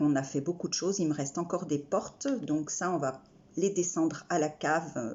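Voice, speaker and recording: At a fairly slow pace, a woman speaks in a very deep, low pitch with fairly even intonation. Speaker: craft vlogger. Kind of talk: casual haul video. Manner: halting, stammering.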